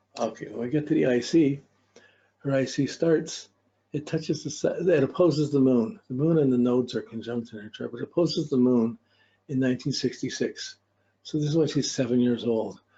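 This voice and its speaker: A man's fairly high, somewhat breathy voice with a dark, mellow tone at a fairly quick pace. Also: ordinary pitch variation. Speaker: astrology teacher. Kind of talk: lecture. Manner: fast.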